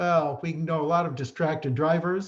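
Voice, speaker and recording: Here is an ordinary speaking voice from a man with an American accent. His pitch is fairly high and his pace moderate. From Chicago area, US Midwest. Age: 60s. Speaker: respiratory therapist and educator. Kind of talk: conference talk. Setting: online presentation.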